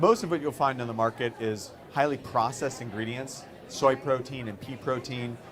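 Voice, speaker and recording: A man with an American accent speaks at a moderate pace in an ordinary speaking voice, his pitch medium and its variation ordinary. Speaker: company co-founder. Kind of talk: conference talk.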